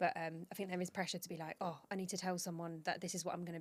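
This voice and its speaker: Very fast and monotone, a woman with a fairly low pitch speaks in flat intonation. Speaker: professional dancer and choreographer. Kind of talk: casual chat. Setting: podcast recording with drinks.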